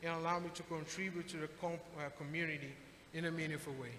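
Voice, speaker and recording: Over noticeable background noise and audible room echo, a man talks at a fairly quick pace in a high voice. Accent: Brazilian. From Brazil. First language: Portuguese. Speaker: adult education graduate, HVAC technician. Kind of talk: graduation speech. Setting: graduation ceremony with audience. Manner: formal.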